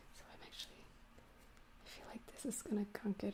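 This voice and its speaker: Someone whispers at a fairly quick pace. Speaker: livestreaming crafter. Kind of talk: live tutorial stream. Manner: halting.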